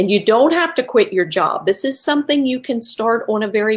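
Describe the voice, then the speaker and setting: A woman with an American accent speaks in an ordinary speaking voice, with ordinary pitch variation. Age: 60s. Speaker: network marketing entrepreneur. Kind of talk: live video sales pitch. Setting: livestream.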